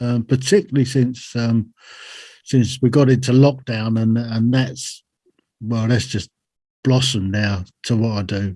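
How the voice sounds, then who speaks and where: A dark, mellow tone with a strong British accent, a moderate pace, ordinary pitch variation, and a quiet background. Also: man. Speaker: army veteran and podcaster. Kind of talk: podcast interview. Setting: remote call from home.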